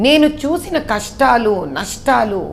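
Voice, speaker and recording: A woman talks with lively intonation. Noticeable background noise runs beneath her voice. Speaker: politician. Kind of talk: interview answer.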